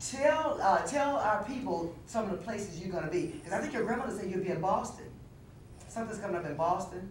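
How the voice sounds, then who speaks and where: At a fairly quick pace, a woman with a medium-pitched voice and lively intonation talks over noticeable background noise with audible room echo. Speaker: TV talk show host. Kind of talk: TV interview. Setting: TV studio. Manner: fast.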